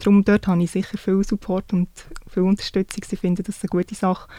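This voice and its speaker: Speaking very fast in a flat monotone, a woman of medium pitch has a dark, mellow tone on a very clean recording with a silent background and a dry, close sound with no echo. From Switzerland, canton Solothurn. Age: 30s. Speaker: civil servant and police recruit. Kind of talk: interview.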